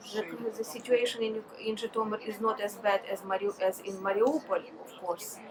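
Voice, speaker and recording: Spoken with a Ukrainian accent at a moderate pace, the speech has fairly even intonation, big swings in loudness, hardly any pauses and noticeable background noise. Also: woman, fairly high pitch for a woman. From Ukraine. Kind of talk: interview answer. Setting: outdoors.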